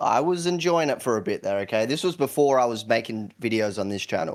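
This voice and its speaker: A man at medium pitch, with lively intonation and a fairly quick pace. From South Australia. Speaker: YouTuber. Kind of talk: podcast interview.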